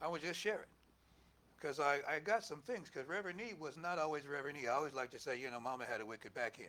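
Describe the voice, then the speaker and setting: A loud man with a fairly high pitch, a bright, sharp tone, lively intonation and a very fast pace. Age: 70s. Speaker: minister. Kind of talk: sermon. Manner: conversational, halting asides.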